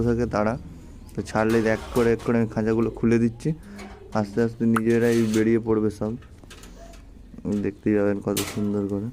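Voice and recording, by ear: Fast and flat, a man's voice carries a monotone intonation. His pitch is fairly low and his tone dark and mellow.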